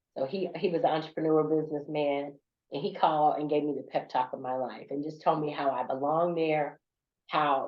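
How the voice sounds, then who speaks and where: With a Southern US accent, a woman speaks in a very deep, low pitch and fairly even intonation. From US South. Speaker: corporate business leader and speaker. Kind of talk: podcast interview.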